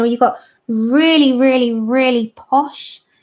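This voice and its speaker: A woman talks with a London accent at a fairly slow pace. Her pitch varies in an ordinary way. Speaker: livestreaming colouring artist. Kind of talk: casual livestream chat with tutorial.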